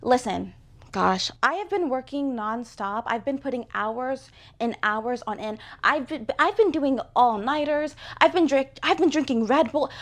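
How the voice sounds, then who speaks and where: A woman with a high voice and lively intonation speaks against a quiet background. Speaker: crochet artist and vlogger. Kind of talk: casual vlog talk to camera. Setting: home studio. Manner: stuttering, rushed.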